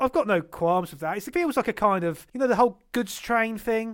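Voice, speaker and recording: Ordinary pitch variation from a man speaking fairly quickly. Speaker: board game podcast host. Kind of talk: casual banter podcast chat. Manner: wry, sarcastic, joking.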